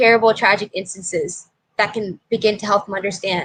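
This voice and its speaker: At a fairly quick pace, a woman with a fairly high pitch talks in a normal speaking voice. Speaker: hip hop dancer. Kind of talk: interview.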